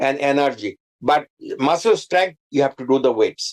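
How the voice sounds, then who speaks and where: Speaking with a Bengali accent at a moderate pace, a man sounds dry and close with no echo. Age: 80s+. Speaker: cardiologist. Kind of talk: health talk show interview. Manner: halting, with repetitions and fillers.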